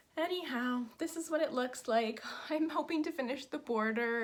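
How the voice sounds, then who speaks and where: Lively intonation in a woman's high-pitched voice. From Canada, southern Ontario. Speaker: cross-stitch vlogger. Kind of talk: casual chat. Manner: fast; animated.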